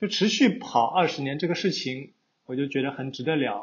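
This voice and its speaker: Lively intonation marks this somewhat breathy voice. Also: man. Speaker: podcast host. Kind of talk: casual interview chat.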